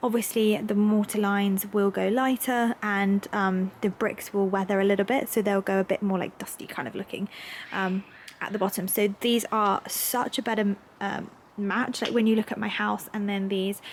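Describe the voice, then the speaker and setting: A woman's medium-pitched, monotone, flat delivery in a southern English accent at a moderate pace, over noticeable background noise. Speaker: lifestyle vlogger. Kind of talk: vlog, casual chat to camera. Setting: at home, during building work. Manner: chatty, filler-heavy.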